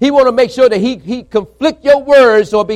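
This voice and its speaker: With an extremely high pitch, a man talks at a moderate pace in an animated tone with lively intonation. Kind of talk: sermon. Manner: animated, call-and-response, exhorting the congregation; emphatic, repetitive, building in intensity.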